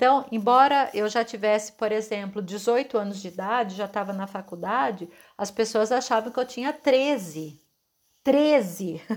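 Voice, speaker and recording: A woman with an unremarkable speaking voice talks at a fairly high pitch and a fairly slow pace, with ordinary pitch variation. The recording is very clean, with a silent background. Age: 40s. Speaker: podcast host, holistic therapist. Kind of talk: reflective monologue.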